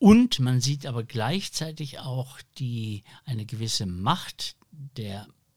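This man speaks at a very slow pace and a medium pitch. His voice is somewhat breathy, with ordinary pitch variation. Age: 60s. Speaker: podcast host and publisher. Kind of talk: panel discussion. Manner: hesitant with many fillers.

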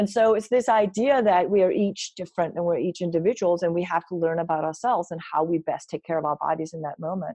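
The speaker has a Danish accent and a dark, mellow tone, with ordinary pitch variation. The pace is very fast, with hardly any pauses. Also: woman, fairly low pitch for a woman. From Denmark. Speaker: wellness coach and speaker. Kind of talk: interview.

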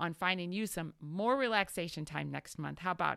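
A woman's voice, warm yet bright and sharp, with lively intonation, in a very clean recording with a silent background. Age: 40s. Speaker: business coach and podcast host. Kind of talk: solo podcast monologue. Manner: warm, encouraging.

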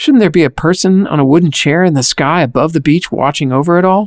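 With an unremarkable speaking voice and ordinary pitch variation, a man speaks at a moderate pace, the sound dry and close with no echo on a very clean recording against a silent background. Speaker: radio host. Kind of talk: scripted narration.

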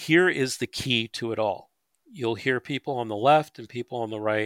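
In a very clean, dry, close recording without echo or background sound, a man with an American accent speaks in a plain, everyday voice. He keeps a fairly quick pace with ordinary pitch variation. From North Jersey, near New York. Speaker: retired police officer. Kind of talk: interview.

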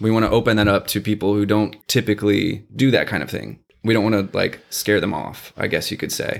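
In an American accent, a plain, everyday voice moves at a fairly quick pace with fairly even intonation and hardly any pauses. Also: man, fairly low pitch for a man. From Texas, San Antonio. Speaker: LARP event organizer and graphic designer. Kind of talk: casual chat.

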